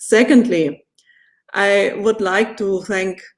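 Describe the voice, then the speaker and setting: Speaking very slowly, a woman with a non-native accent has a medium pitch and fairly even intonation. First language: German. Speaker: politician. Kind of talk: formal speech. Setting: webinar. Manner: formal.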